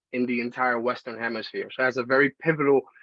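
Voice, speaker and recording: A man's medium-pitched voice with a Spanish accent. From Dominican Republic, raised in the Bronx. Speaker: panelist, college professor. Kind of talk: panel discussion.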